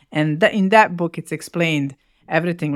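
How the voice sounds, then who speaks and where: In a very clean recording with a dry, close sound, no echo and a silent background, a woman speaks fairly quickly at fairly low pitch. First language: Bosnian/Serbo-Croatian. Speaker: podcast co-host. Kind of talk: casual chat.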